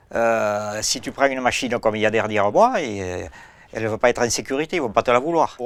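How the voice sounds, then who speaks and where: Very fast male speech at a medium pitch over noticeable background noise. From rural France. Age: 60s. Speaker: farmer. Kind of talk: casual chat. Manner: halting.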